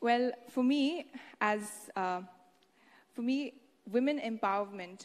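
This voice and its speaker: Speaking with an Indian accent, a woman uses lively intonation. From Haryana, India. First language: Haryanvi. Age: 20s. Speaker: beauty pageant winner, medical student. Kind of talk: public speech.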